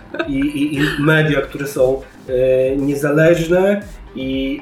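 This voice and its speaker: A man with a fairly high voice speaks with ordinary pitch variation. Music plays in the background, and the room echo is audible. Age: 30s. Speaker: podcast host. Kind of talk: casual chat.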